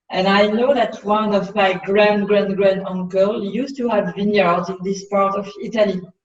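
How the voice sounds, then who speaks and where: Amid audible room echo, a woman with a French accent speaks at a medium pitch and a moderate pace, with a monotone, flat intonation and hardly any pauses. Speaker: winery owner and winemaker. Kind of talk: interview. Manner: halting.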